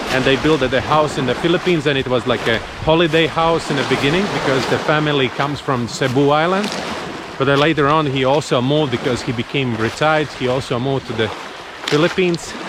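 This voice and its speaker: A man with a Latvian accent speaks very fast at a fairly high pitch, with very even loudness and fairly even intonation, over noticeable background noise. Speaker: travel vlogger. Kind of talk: casual vlog monologue.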